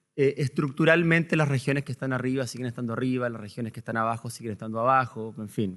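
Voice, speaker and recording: Speaking very fast with hardly any pauses, a man at medium pitch talks with a Chilean accent. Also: ordinary pitch variation. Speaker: panelist, academic researcher. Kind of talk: conference panel presentation. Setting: seminar hall with audience. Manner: hesitant, many filler words.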